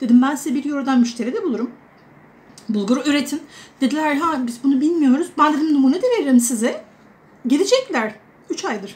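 Her voice high in pitch with ordinary variation, a woman talks at a fairly quick pace broken by long, frequent pauses. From Turkey, Adana; Turkey. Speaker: vlogger; expat vlogger. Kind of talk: casual vlog monologue. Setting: indoors at home during a storm. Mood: warm, chatty, amused. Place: kitchen. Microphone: phone near.

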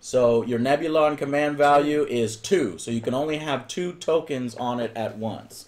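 A man speaks with lively intonation at a fairly slow pace. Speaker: stream host. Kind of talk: casual game tutorial commentary. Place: home room.

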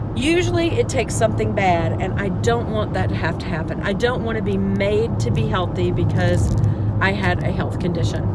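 A woman speaks at a moderate pace. The sound is dry with no echo, over loud background noise. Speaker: vlogger. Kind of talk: casual vlog chat. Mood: earnest, reflective. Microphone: phone near.

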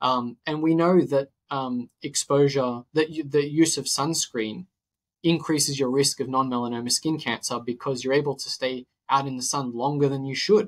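With an Australian accent, a man speaks at a moderate pace in a fairly high pitch and fairly even intonation, the sound dry and close with no echo on a very clean recording with a silent background. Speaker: nutritionist and health podcaster. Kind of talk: interview conversation. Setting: podcast recording.

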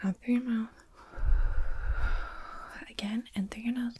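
Soft-spoken and calm in tone, a woman talks at a moderate pace with monotone, flat intonation. Light background noise is present. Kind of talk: soft-spoken roleplay. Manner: soft close ASMR murmur, calm.

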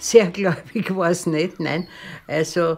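A woman speaks at a very slow pace. Her voice is fairly low, with fairly even intonation. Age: 80s+. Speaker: resistance fighter and Nazi prison survivor. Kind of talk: documentary interview answer. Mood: firm, matter-of-fact.

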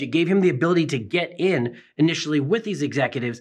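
The background stays quiet. A man speaks fairly quickly, his intonation lively. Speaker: magazine publisher host. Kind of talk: presenter commentary. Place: studio.

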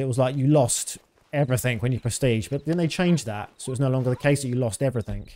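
Speaking at a very fast pace, a man with a British accent has a fairly high pitch. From Britain. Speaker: video game streamer. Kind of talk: live gameplay commentary. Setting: live stream. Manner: casual. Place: home room. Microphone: studio mic.

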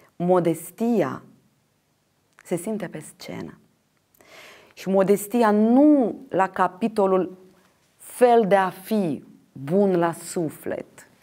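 A woman's very slow speech with long, frequent pauses, big swings in loudness, ordinary pitch variation and faint music in the background. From Moldova, Ștefan Vodă district; Moldova. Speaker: actress and theatre director; interview guest. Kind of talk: interview; interview answer. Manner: halting. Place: studio. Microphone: lapel.

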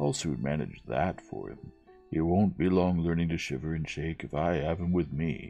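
Against faint music, a man does a put-on character voice with an extremely low pitch, vocal fry, a dark, mellow tone, lively intonation, and a moderate pace.

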